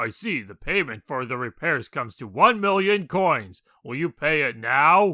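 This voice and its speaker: Using a put-on character voice, a man speaks at a fairly high pitch and a moderate pace. The recording is very clean, with a silent background. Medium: game stream. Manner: formal, comic overacting.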